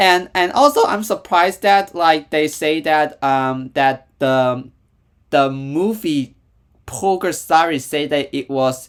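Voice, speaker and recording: A man talks at a very slow pace in a Hong Kong accent. His pitch is fairly high, with ordinary variation. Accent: Hong Kong Cantonese-accented English. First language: Cantonese. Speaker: YouTube reactor. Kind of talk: casual reaction commentary. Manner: halting, many fillers and repetitions.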